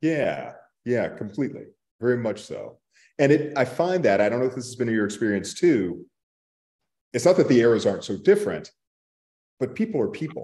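Speaking at a fairly quick pace with an American accent, a man has a dark, mellow tone, very wide pitch swings, big swings in loudness, and long, frequent pauses. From Texas (Borger); Texas. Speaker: author; panelist. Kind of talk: panel discussion. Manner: halting. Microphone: video call.

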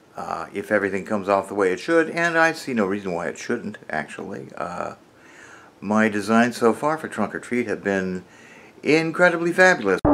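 A man with a fairly low pitch speaks at a moderate pace, his voice swinging very widely in pitch. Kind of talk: casual vlog chat. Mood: upbeat, a bit boastful. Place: home room. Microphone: phone near.

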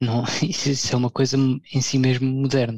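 A man talks at a medium pitch, somewhat breathy. The sound is dry and close, with no echo. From Portugal. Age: 30s. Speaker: blogger. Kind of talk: casual chat.

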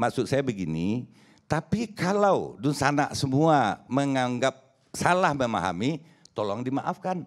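The pitch of this man's voice swings very widely. He speaks at a fairly slow pace. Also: medium pitch for a man, quiet background. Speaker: press figure from West Sumatra; talk show panelist. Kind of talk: talk show panel discussion. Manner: halting, many fillers. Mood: conciliatory, apologetic. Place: studio. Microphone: handheld.

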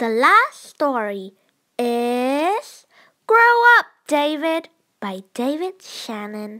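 Speaking very slowly, a woman uses a high, bright, sharp voice. Her pitch moves in big swings.

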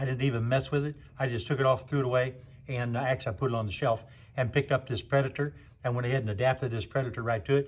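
Somewhat breathy, the voice moves at a very fast pace with fairly even intonation. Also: man. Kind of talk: casual repair explanation. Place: garage.

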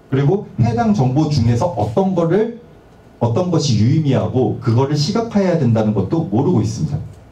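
With audible room echo around him, a man with a fairly high pitch talks at a fairly quick pace, his pitch swinging very widely. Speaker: university lecturer in digital humanities. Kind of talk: academic lecture. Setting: seminar hall with audience. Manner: formal, explanatory. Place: meeting room.

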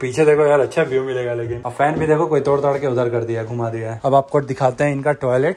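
A man at a moderate pace with fairly even intonation and hardly any pauses. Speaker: travel vlogger. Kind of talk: casual vlog chat. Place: train. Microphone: phone near.

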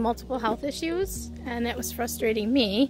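Against faint background music, a woman talks at a moderate pace in a dry sound with no echo. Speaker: vlogger. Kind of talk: casual vlog chat. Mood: reflective, personal update. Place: open country. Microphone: phone near.

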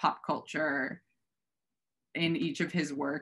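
Over a quiet background, a woman's very deep, low voice has a bright, sharp tone. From US Midwest, Minnesota. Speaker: art curator; art dealer presenting a lecture. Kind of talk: lecture. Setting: video call. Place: home room. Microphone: webcam.

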